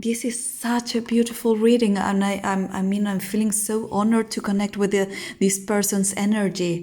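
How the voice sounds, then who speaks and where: A somewhat breathy woman's voice, dark and mellow in tone, at a moderate pace with monotone, flat intonation. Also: medium pitch for a woman. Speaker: tarot reader. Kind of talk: tarot reading. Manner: halting.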